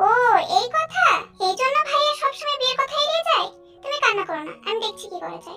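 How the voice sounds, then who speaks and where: In a put-on character voice, a woman squeaks at an extremely high pitch, talking fairly quickly over faint background music. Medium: read story. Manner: soft, earnest.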